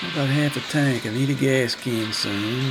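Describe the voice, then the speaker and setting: In a Texas accent, a man speaks at a medium pitch and fairly slow pace with ordinary pitch variation, with music in the background and audible room echo. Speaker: gaming video creator. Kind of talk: channel outro; gameplay commentary.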